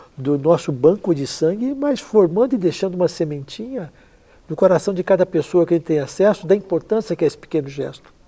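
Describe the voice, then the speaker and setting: Speaking at a fairly quick pace, a man with a high pitch and a dark, mellow tone uses lively intonation. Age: 60s. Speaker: blood donation charity founder, transplant athlete. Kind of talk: interview.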